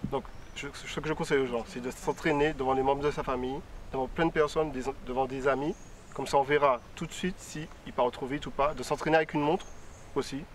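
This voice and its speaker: Very fast speech with fairly even intonation comes through noticeable background noise. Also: man, fairly high pitch for a man. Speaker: student. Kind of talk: studio discussion.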